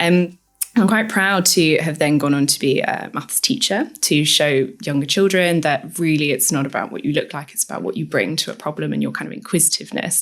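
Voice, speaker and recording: A woman with an English accent, very deep and low in pitch, with vocal fry, lively intonation and a fairly quick pace. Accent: posh English, picked up at university. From northern England. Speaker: technology strategy advisor. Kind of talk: podcast interview.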